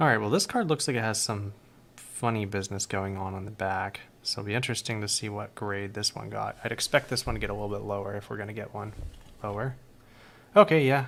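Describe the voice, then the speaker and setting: Quietly and at a very fast pace, a man speaks at a fairly low pitch with ordinary pitch variation. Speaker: card collector streamer. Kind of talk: live stream card reveal. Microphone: mic placed close, odd room acoustics.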